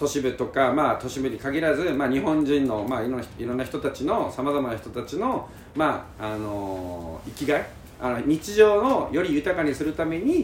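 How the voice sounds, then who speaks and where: A man's fairly high voice with lively intonation, at a moderate pace, over noticeable background noise. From Japan, Karatsu, Saga (Kyushu). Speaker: company head running island campsites. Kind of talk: casual interview chat. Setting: on location at a campsite in Fukuoka.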